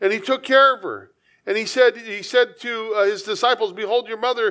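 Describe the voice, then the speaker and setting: A man's raised, projected voice, extremely high-pitched with a bright, sharp tone, at a moderate pace. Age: 50s. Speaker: pastor. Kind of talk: sermon. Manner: halting.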